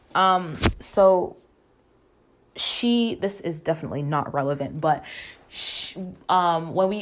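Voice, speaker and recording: Soft-spoken and fairly low in pitch, a woman talks at a fairly slow pace with long, frequent pauses. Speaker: podcast host. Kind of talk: casual personal monologue. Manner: informal, halting with fillers.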